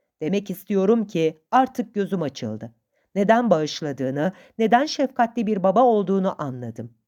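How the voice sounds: Lively intonation runs through a natural reading voice. Around it, the background stays quiet.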